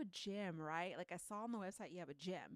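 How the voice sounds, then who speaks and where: An animated voice with an American accent at a moderate pace, dry and close with no echo. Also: woman. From Southern California, Torrance. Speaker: podcast co-host. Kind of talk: casual chat.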